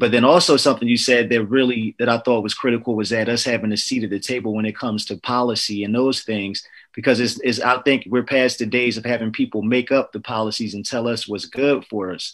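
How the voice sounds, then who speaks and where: A man with an American accent speaks in an ordinary speaking voice at medium pitch, with fairly even intonation and hardly any pauses. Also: fairly quick pace. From New Jersey. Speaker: podcast host. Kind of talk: casual interview.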